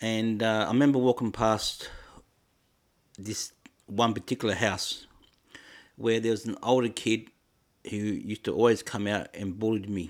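A man speaks in a monotone, flat intonation at medium pitch and a moderate pace, with long, frequent pauses. The recording is very clean, with a silent background. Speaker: podcaster. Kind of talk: personal storytelling monologue. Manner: hesitant, halting; reflective.

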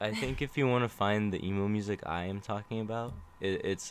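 Here a man talks at a moderate pace in a fairly low pitch. His pitch variation is ordinary. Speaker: band drummer, podcast guest. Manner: sarcastic tone, always.

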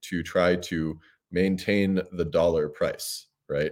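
On a very clean recording with a silent background, a man with an American accent speaks at a very deep, low pitch with a dark, mellow tone. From US, Washington DC area. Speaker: crypto payments company CEO. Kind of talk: casual interview.

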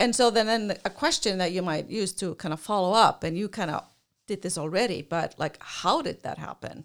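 A woman at a moderate pace, with an Icelandic accent, medium pitch and lively intonation. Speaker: career counselor and podcast co-host. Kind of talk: casual chat.

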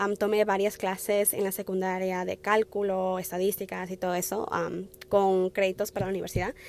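Monotone, flat intonation with hardly any pauses. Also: woman, medium pitch for a woman, moderate pace. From Wisconsin, US (born in Peru). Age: 20s. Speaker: nursing student, podcaster. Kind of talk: solo personal monologue. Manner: hesitant, many fillers.

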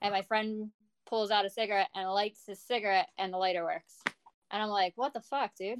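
A woman with a normal speaking voice speaks in an American accent. Her medium pitch holds a fairly even intonation at a fairly quick pace. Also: dry, close sound with no echo. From New Jersey. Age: 30s. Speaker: nurse. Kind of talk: storytelling.

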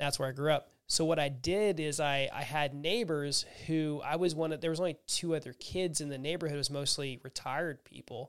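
In an American accent, a normal speaking voice moves at a fairly quick pace with hardly any pauses and fairly even intonation, on a very clean recording with a silent background. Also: man, fairly high pitch for a man. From rural Florida. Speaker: business broker, podcast host. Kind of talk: casual interview chat.

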